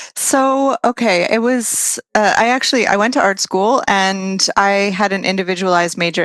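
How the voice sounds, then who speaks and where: Her medium-pitched voice moves at a moderate pace with lively intonation, the woman heard in a dry, close sound with no echo. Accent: American. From US, New Jersey near New York City. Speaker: experience designer and former wedding photographer. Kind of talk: podcast interview.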